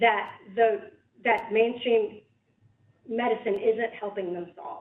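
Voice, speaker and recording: The speaker has an American accent and talks at a very slow pace. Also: woman. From North Carolina, US South. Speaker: professor. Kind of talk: lecture; reading aloud. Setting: library lecture hall with audience. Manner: loud; halting, many fillers.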